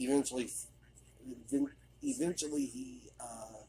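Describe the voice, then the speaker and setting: Mumbling from a man at a fairly slow pace. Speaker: video game commentator. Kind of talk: game commentary. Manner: hesitant, mumbling.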